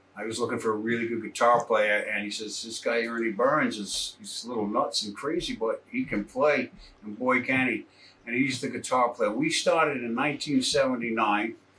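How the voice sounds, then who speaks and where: A man speaks at a moderate pace as noticeable background noise carries on behind him. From Rhode Island. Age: 60s. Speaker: drummer. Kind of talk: interview monologue. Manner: casual, with fillers and repeats.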